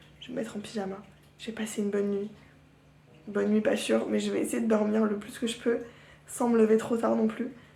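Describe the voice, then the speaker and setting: Audible room echo surrounds a woman who takes long, frequent pauses. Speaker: vlogger. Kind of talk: casual vlog. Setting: at home. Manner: chatty, hesitant with fillers.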